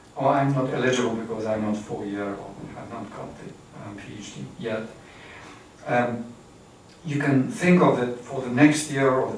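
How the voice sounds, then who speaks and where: A man's voice with ordinary pitch variation amid noticeable background noise and audible room echo. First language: not English. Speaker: academic trainer. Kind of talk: lecture. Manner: halting.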